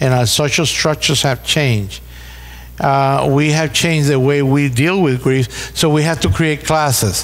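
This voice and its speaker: A man with a Puerto Rican accent. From Puerto Rico. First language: Spanish. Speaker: pastor. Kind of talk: seminar talk. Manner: halting, repeats words.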